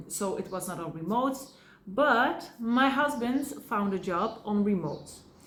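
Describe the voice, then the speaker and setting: A woman's fairly high voice with lively intonation at a fairly slow pace, amid noticeable background noise and audible room echo. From Belgium. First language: Dutch or Polish. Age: 30s. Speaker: family vlogger. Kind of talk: casual vlog. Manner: halting.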